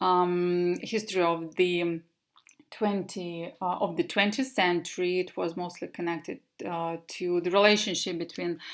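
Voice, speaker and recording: A Russian accent, a fairly slow pace, and fairly even intonation. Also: woman. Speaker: English teacher. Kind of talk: presentation. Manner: halting.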